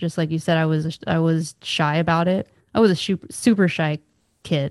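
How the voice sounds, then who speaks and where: Speaking with an American accent, a woman has a fairly low pitch. Her pace is moderate and her intonation fairly even. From Southern California. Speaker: podcast host. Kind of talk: casual chat.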